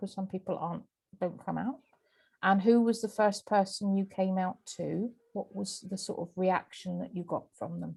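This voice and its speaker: A woman's voice is dark, mellow and somewhat breathy. She speaks at a moderate pace. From Cornwall. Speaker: interviewer. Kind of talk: casual interview chat.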